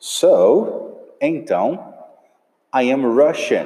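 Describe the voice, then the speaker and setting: Here a man speaks with a Portuguese accent. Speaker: English teacher. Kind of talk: tutorial.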